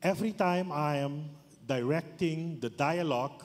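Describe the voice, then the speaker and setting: The man's pitch is fairly high. He speaks at a fairly slow pace. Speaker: business forum director, audience member. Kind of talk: audience question at forum. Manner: slow, halting.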